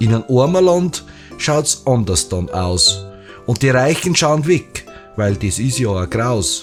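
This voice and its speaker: Music plays in the background as a man talks very slowly. His medium-pitched voice swings very widely in pitch. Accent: Bavarian. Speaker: dialect poet. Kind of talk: poetry reading.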